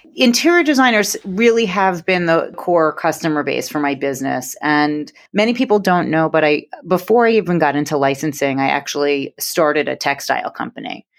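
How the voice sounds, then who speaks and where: With a New York accent, a woman talks at a fairly quick pace in a fairly low pitch, her intonation lively and her speech hardly broken by pauses. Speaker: interior design business owner. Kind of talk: podcast interview.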